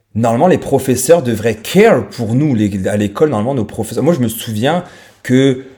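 In a very clean recording with a silent background, a man speaks with a dark, mellow tone and lively intonation. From France. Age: 30s. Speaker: podcaster. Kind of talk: solo monologue podcast. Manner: hesitant, many fillers; casual, conversational.

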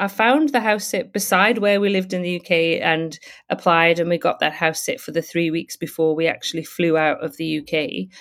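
Recorded very cleanly against a silent background, a woman with a British accent talks at a medium pitch and a fairly quick pace. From UK. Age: 50s. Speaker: travel blogger and house sitter. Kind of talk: casual interview. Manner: hesitant with fillers and repetitions.

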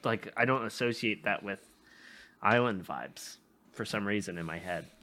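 Speaking at a moderate pace, a man with a fairly low pitch and ordinary pitch variation has a bright, sharp tone. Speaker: podcast host. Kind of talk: casual chat.

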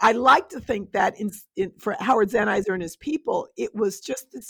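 A plain, everyday voice of a woman with an American accent, fairly high in pitch, with lively intonation, at a moderate pace, and with a dry, close sound with no echo. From Westchester County, New York. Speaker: scholar. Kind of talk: interview.

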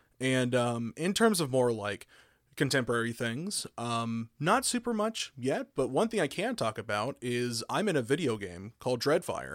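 On a very clean recording, dry and close with no echo and a silent background, a man with an unremarkable speaking voice at medium pitch talks at a moderate pace with lively intonation. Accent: American. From Oklahoma. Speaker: audio engineer and voice actor. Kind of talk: interview.

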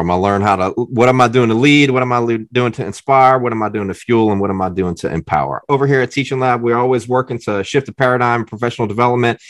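On a very clean recording with a silent background, a man with an American accent and medium pitch talks very fast, with hardly any pauses and ordinary pitch variation. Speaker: podcast host, former English teacher. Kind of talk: interview conversation.

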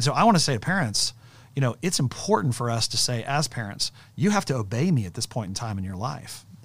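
Talking at a very fast pace, a man with a medium pitch and a somewhat breathy voice makes very wide pitch swings. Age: 40s. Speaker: pastor and podcast host. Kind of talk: casual chat.

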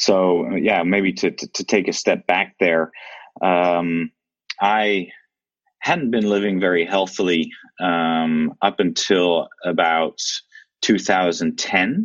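A man's very deep, low voice with a Dutch accent, at a very slow pace with fairly even intonation. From Netherlands. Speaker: amateur triathlete and tech worker. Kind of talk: casual interview. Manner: hesitant, many fillers and repetitions.

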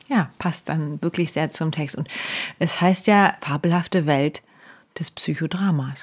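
Speaking at a fairly slow pace, a woman with a very deep, low pitch sounds somewhat breathy on a very clean recording with a silent background. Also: ordinary pitch variation. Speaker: psychodrama practitioner and podcast co-host. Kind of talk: casual chat.

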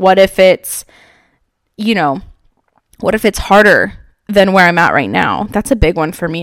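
Using an animated tone and vocal fry, a woman speaks at a medium pitch with ordinary pitch variation and a moderate pace. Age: 20s. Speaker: podcast host and entrepreneur. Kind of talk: casual motivational monologue.

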